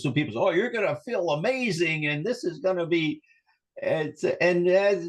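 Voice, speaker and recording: A man with an unremarkable speaking voice and a fairly high pitch talks at a moderate pace with lively intonation. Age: 60s. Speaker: wellness coach and therapist. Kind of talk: interview conversation.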